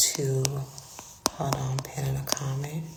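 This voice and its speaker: Whispering woman in an American accent, with audible room echo and noticeable background noise. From Florida, Palm Beach County. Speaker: career coach. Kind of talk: livestream monologue. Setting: public space, live stream. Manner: hesitant, filler words.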